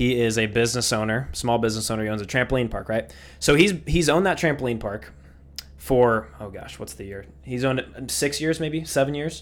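Using a plain, everyday voice, a man with a medium pitch speaks at a fairly quick pace with lively intonation and big swings in loudness. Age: 20s. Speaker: podcast host. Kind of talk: casual chat.

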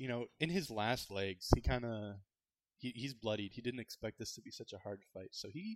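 The clip is plain reading aloud with lively intonation over a quiet background.

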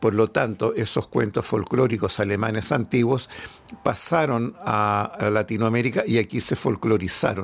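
This man's voice has a medium pitch, ordinary pitch variation and very even loudness. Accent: Chilean. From Chile. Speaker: author and collector. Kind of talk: casual interview. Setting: at home.

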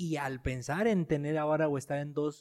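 A man's dark, mellow tone at a fairly high pitch, fairly slow in pace, on a very clean recording with a silent background. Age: 30s. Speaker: podcast host. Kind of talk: interview. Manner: halting.

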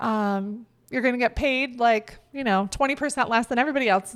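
A woman speaks at a fairly quick pace in a fairly high pitch. She has an ordinary speaking voice with ordinary pitch variation. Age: 30s. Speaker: podcast co-host. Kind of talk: casual chat.

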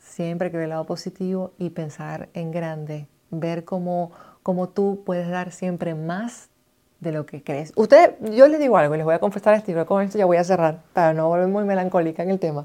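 Over a quiet background, a woman speaks at a moderate pace with a fairly low pitch. Her tone is dark and mellow, with ordinary pitch variation. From Venezuela, Maracaibo (Zulia). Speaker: podcast host, radio and TV presenter. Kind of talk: casual monologue. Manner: animated.

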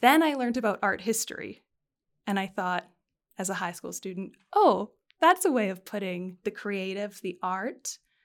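A woman with a Canadian accent, a plain, everyday voice, medium pitch, moderate pace, and a very clean recording over a silent background. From Canada, Alberta. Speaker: fashion historian and museum curator. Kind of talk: interview.

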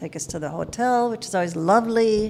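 A woman with an American accent speaks at a moderate pace. Music plays in the background. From Minnesota (Minneapolis). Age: 60s. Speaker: flight attendant. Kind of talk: casual chat, storytelling.

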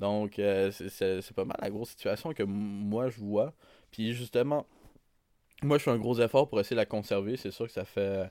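In a very clean recording with a silent background, an ordinary speaking voice moves at a fairly slow pace with ordinary pitch variation. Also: man, fairly low pitch for a man. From Quebec North Shore, Innu communities. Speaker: podcast co-host. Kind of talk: casual chat.

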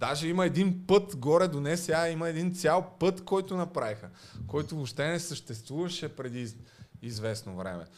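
Fairly high-pitched, this man speaks with lively intonation. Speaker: podcast host. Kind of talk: casual chat. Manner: slow.

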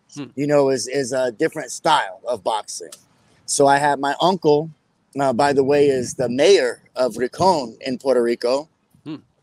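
A man speaks in a normal speaking voice, fairly high-pitched, at a moderate pace, with a dry, close sound and no echo. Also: ordinary pitch variation. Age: 40s. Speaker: martial arts champion and gym owner. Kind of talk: interview.

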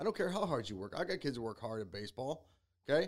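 A man's very fast speech with vocal fry and very wide pitch swings. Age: 40s. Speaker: podcast host and youth coach. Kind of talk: casual chat.

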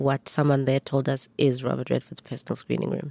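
Very deep and low for a woman, her dark, mellow voice moves at a fairly quick pace with monotone, flat intonation, the sound dry and close with no echo. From South Africa, former Bantustan (Eastern Cape). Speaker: filmmaker. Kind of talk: interview.

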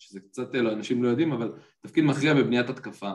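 Speaking at a fairly quick pace, a man with a plain, everyday voice shows ordinary pitch variation. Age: 20s. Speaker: football analyst. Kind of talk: casual chat.

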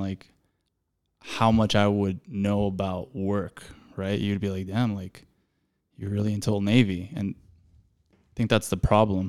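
There's a fairly low-pitched man speaking with an American accent. It is a very clean recording with a silent background. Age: 30s. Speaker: podcast host, screen printer and artist. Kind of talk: casual chat.

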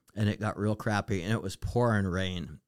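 A man with a fairly low pitch and an ordinary speaking voice talks at a moderate pace with fairly even intonation. The sound is dry and close with no echo, in a very clean recording with a silent background. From Western Montana. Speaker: retired restaurant owner. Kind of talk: casual interview.

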